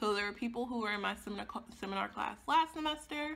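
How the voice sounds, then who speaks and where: A woman talks fairly quickly in a bright, sharp tone with vocal fry. Her pitch swings very widely. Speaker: beauty vlogger and grad student. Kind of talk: casual chat.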